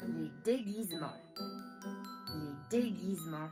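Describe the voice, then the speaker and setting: Over clear music in the background, a female-sounding put-on character voice speaks at a fairly slow pace. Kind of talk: language lesson. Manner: upbeat.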